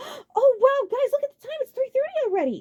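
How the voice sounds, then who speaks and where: A woman puts on a squeaky character voice, extremely high in pitch and at a fairly quick pace, with big swings in loudness. The sound is dry and close, with no echo. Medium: read story.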